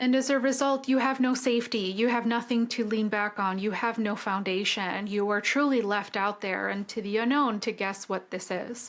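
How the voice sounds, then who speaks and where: A woman's fairly high voice with fairly even intonation and a non-native accent. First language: not English. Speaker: film review podcaster. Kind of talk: podcast film analysis monologue.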